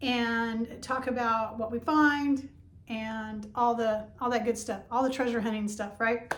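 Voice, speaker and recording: With audible room echo, a woman talks at a fairly slow pace in a high pitch. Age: 60s. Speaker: thrift reseller vlogger. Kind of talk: casual vlog monologue. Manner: hesitant, many fillers.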